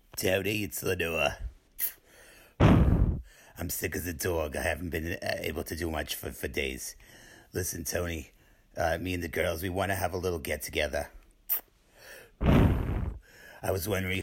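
In a put-on character voice, a man speaks raspy and very deep at a moderate pace, leaving long, frequent pauses.

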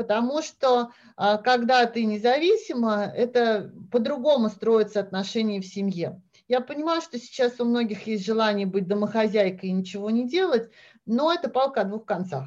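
A woman talks in a plain, everyday voice at a fairly high pitch. Her intonation is lively and her pace moderate. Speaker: Russian expat mother. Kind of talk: casual chat.

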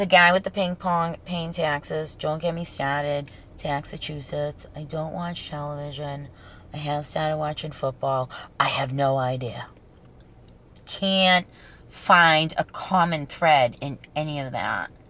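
A woman with a strong Boston accent speaks at a fairly slow pace in a very deep, low voice. Her tone is animated, her pitch varies in an ordinary way, and her loudness swings widely. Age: 30s. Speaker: podcast host. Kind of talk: casual solo podcast ramble, profane. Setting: in a parked car used as a studio. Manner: animated, humorous, profane.

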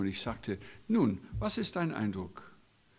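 Here a man is talking. He speaks at a very slow pace. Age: 60s. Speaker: guest preacher and Bible school teacher. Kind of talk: sermon.

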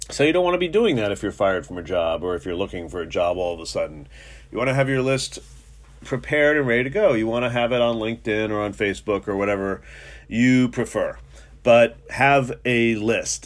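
With an American accent and an ordinary speaking voice, a man talks at a fairly quick pace and a medium pitch, his intonation lively. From New York City. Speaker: personal injury lawyer, podcast host. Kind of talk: solo podcast monologue. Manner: casual, many filler words.

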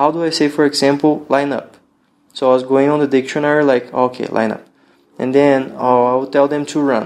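A man with a Brazilian accent, fairly quick and monotone with flat intonation. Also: fairly high pitch for a man. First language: Portuguese. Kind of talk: casual interview conversation. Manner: relaxed, friendly.

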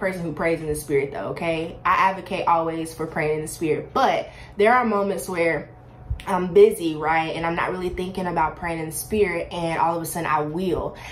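The speech moves at a fairly quick pace. Noticeable background noise and audible room echo come through. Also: woman. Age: 20s. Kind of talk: faith testimony monologue. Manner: animated.

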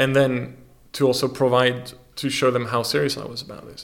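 Speaking with a French accent and vocal fry, a man uses a medium pitch at a moderate pace. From France. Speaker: magazine publisher and creative technologist. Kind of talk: interview conversation. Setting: studio.

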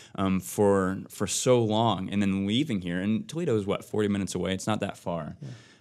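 In a very clean recording with a silent background, a man talks in a normal speaking voice at a fairly low pitch, fairly quick, with ordinary pitch variation. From US Midwest, Ohio. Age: 20s. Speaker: new church staff member, former engineer. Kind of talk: casual chat.

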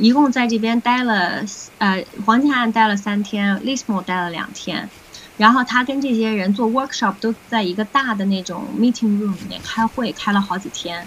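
Against noticeable background noise, a woman talks at a moderate pace. Her pitch is fairly high, with ordinary pitch variation. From Beijing, China. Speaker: recovered COVID patient sharing experience. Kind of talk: interview conversation.

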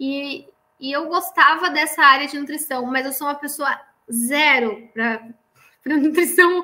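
A woman speaks in a high, raised, projected voice with a bright, sharp tone. Her pitch varies an ordinary amount. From Santa Catarina, Brazil (northern interior). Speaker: chemical engineer, production coordinator. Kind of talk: interview about career.

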